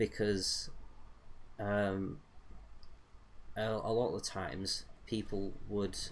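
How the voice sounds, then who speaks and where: Amid audible room echo, a man speaks at a very slow pace with long, frequent pauses, his fairly low pitch held in fairly even intonation. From England (rural northern county). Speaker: gaming streamer. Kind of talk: casual chat while playing a game. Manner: hesitant, many fillers.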